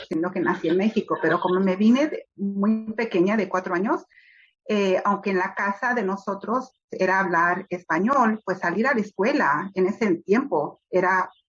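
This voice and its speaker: Music plays in the background as a woman speaks. Her pitch is medium with ordinary variation, and her pace is fairly slow. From Los Angeles, US (born Mexico City). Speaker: children's book author. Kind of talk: interview. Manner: hesitant, many fillers.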